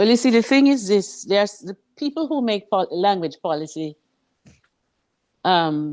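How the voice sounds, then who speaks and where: In a Jamaican accent, the speaker goes at a fairly slow pace with long, frequent pauses. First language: Jamaican Patois. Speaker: author and former English teacher. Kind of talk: interview. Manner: animated.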